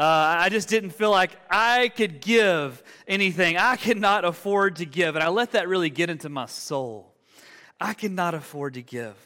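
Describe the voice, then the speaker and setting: A speaker with an Alabama accent talks at a moderate pace with lively intonation and a bright, sharp tone. The recording is very clean, with a silent background. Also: man, high pitch for a man. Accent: Southern US (Alabama). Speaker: pastor. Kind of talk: sermon. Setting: church. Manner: animated.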